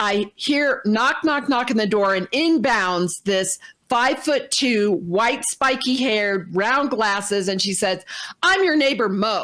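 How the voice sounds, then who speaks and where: A woman with an American accent and an unremarkable speaking voice talks at a fairly slow pace, fairly high in pitch, with lively intonation and very even loudness. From Indiana, US Midwest. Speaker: talk show co-host. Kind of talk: casual storytelling.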